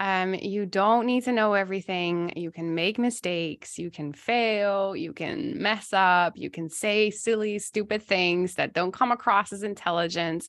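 Over a quiet background, a woman has a normal speaking voice at a medium pitch, moving at a fairly slow pace with hardly any pauses and ordinary pitch variation. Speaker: giftedness coach and podcast host. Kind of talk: coaching conversation.

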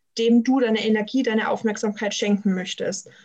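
Somewhat breathy and fairly high-pitched, a woman speaks at a fairly quick pace with fairly even intonation. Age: 20s. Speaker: student and systemic coach. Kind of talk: interview.

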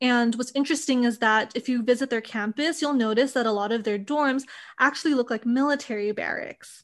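The delivery is fairly quick, with ordinary pitch variation. The background is quiet. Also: woman. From Hawaii, Oahu. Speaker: podcast co-host. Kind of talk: casual chat.

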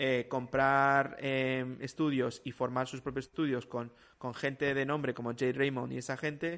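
A man with an unremarkable speaking voice talks at a moderate pace and medium pitch. The background is quiet. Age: 40s. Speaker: video game industry professional. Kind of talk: casual chat.

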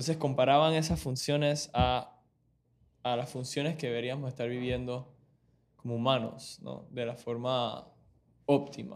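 With a Panamanian accent, a man talks at a fairly slow pace and medium pitch, using ordinary pitch variation and long, frequent pauses. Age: 20s. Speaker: medical student. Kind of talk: casual chat.

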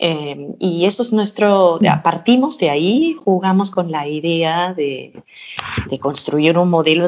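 A woman speaks with a Danish accent at a medium pitch. Her intonation is lively, and her pace is fairly slow. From Denmark, small town. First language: Danish (speaking Spanish). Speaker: fashion brand co-founder. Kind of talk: interview.

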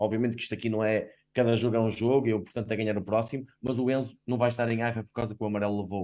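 Intonation holds fairly even throughout. A dark, mellow tone colors the voice. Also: man. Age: 30s. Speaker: football fan pundit. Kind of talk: casual sports discussion.

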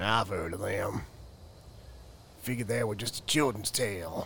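Putting on a raspy character voice, a man talks at a moderate pace and a fairly low pitch over clear background noise. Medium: read story. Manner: slow, simple, whiny.

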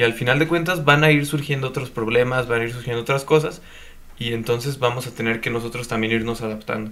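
Talking at a very fast pace, the man keeps a medium pitch and fairly even intonation. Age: young. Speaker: podcast co-host. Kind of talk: casual chat.

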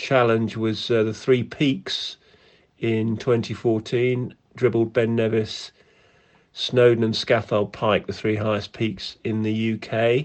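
With an English accent, the speaker talks at a very slow pace in a monotone, flat intonation. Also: man. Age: 50s. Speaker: national hockey team manager. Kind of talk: interview.

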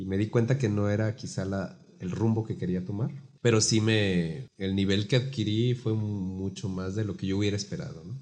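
A man talks at a moderate pace with hardly any pauses, his pitch fairly low. His tone is dark and mellow, with ordinary pitch variation. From Guadalajara, Mexico. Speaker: baritone singer and music teacher. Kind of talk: casual interview.

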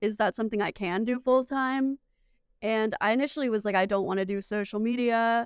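Speaking with an American accent at a fairly quick pace, the voice keeps fairly even intonation on a very clean recording with a silent background. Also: woman, fairly high pitch for a woman. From Memphis, Tennessee, US South. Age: 20s. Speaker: sports social media producer. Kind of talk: casual interview chat.

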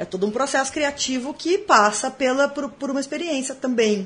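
Lively intonation carries a woman's high-pitched voice. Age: 30s. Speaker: writer. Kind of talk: casual chat.

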